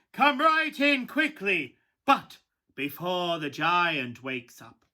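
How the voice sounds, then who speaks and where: Using a put-on character voice, a man speaks at a fairly slow pace in a high pitch with very wide pitch swings. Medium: solo performance.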